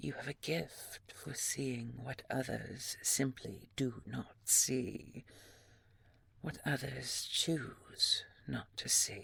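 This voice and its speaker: A woman's put-on character voice, raspy and very deep, at a very slow pace. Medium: audio drama. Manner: polite, slow, measured.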